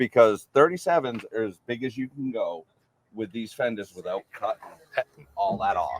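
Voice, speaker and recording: Moderate-paced speech in a Maine accent, with a dry, close sound and no echo. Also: man. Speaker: off-road vehicle builder, subscriber. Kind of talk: casual interview.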